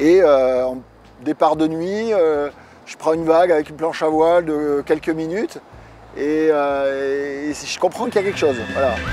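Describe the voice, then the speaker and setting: Noticeable background noise sits behind a man whose fairly high voice has ordinary pitch variation and big swings in loudness. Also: fairly slow pace. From France, Dordogne (southwest). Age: 40s. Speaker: surfer. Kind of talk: interview. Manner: hesitant, many filler sounds.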